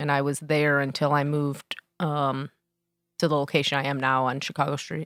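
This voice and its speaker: A woman speaks in a very deep, low pitch at a fairly quick pace with monotone, flat intonation. The sound is dry and close with no echo, in a very clean recording with a silent background. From Joliet, Illinois. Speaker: glass artist. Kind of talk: casual interview. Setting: studio.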